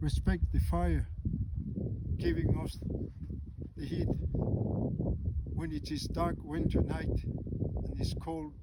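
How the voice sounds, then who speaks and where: A man speaks very slowly with a very deep, low pitch and long, frequent pauses. Noticeable background noise and audible room echo fill the recording. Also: ordinary pitch variation. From Greenland. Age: 60s. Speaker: storyteller. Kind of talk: spoken reflection.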